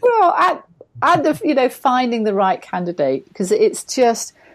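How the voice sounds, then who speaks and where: A woman with a British accent at a moderate pace, quiet background. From Britain. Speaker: HR and hiring consultant. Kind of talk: casual interview chat.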